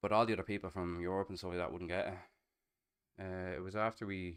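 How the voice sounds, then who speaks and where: On a very clean recording with a silent background, a man with a Dublin accent talks very fast at a fairly low pitch. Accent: Irish (Dublin). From Ireland (Dublin, Castleknock). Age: 30s. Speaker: streamer. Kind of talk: casual chat.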